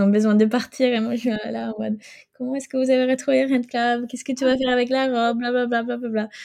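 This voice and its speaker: The voice has a dark, mellow tone and a Swedish accent, moving at a moderate pace. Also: woman. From Sweden. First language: Swedish (speaking French). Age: 20s. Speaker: fashion rental entrepreneur. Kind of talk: interview. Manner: halting.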